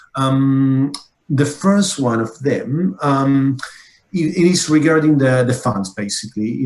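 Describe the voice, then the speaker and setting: This man has a non-native accent and a fairly high pitch. His voice is somewhat breathy, with ordinary pitch variation. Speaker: conference moderator. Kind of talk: moderated Q&A. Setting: online workshop. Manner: halting, many fillers and repetitions.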